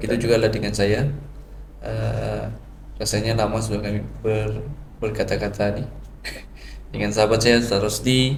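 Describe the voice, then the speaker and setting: A man at a moderate pace with long, frequent pauses, plus audible room echo and noticeable background noise. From Sabah, Malaysia. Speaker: religious preacher (dakwah trainee). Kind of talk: casual podcast chat.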